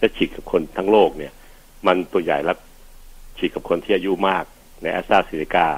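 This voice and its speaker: Fairly even intonation marks a man's very deep, low-pitched voice. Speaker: physician radio host. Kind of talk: health advice radio show.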